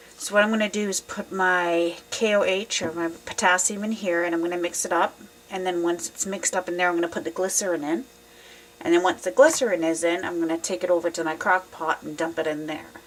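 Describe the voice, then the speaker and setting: A woman talking very fast at a fairly low pitch, with noticeable background noise. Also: fairly even intonation. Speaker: soap-making hobbyist. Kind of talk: tutorial. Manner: casual, hesitant with fillers.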